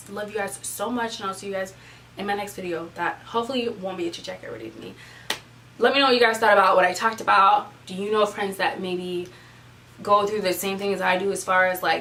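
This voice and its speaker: A woman talks at a very fast pace and a medium pitch, with big swings in loudness. Noticeable background noise and audible room echo fill the recording. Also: fairly even intonation. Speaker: beauty vlogger. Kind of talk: casual chat.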